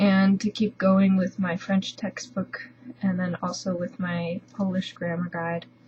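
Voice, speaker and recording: Speaking in an American accent, a woman sounds somewhat breathy. Her pace is fairly slow. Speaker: language learner vlogger. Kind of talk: casual video update. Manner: hesitant, many fillers.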